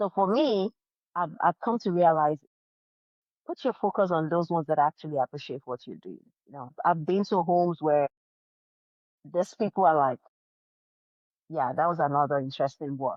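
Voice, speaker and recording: Pausing often and at length, a woman with a non-native accent speaks at a moderate pace in a fairly low pitch with ordinary pitch variation. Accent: foreign accent, others struggle to understand. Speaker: life insurance consultant. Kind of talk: interview.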